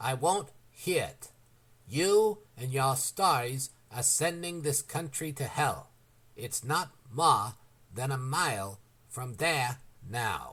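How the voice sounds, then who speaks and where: Using a put-on character voice, a man growls at a medium pitch with lively intonation, going at a very slow pace with long, frequent pauses. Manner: growling, enraged.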